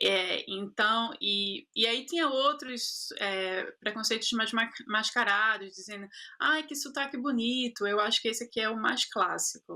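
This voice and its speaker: A woman with a bright, sharp tone, at a fairly slow pace. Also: fairly high pitch for a woman, ordinary pitch variation, hardly any pauses. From Brazil, Recife (Pernambuco). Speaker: actress and producer. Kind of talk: interview. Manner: halting, many repetitions.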